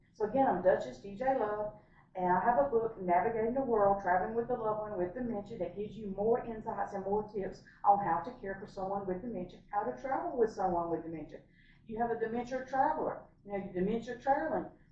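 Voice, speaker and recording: A woman's fairly high voice with lively intonation at a very fast pace, with audible room echo. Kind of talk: casual vlog talk to camera. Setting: hotel room.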